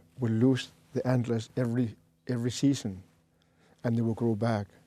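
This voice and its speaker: Male speech with a dark, mellow tone and fairly even intonation. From Greenland. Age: 60s. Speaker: shaman. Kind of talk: interview conversation. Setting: studio. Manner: halting.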